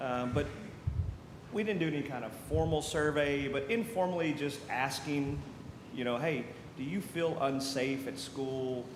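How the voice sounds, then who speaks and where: Speaking with an American accent, a man talks at a fairly slow pace in a fairly high pitch with ordinary variation. Room echo and noticeable background noise can be heard. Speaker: school district security officer. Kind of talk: committee meeting update. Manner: loud.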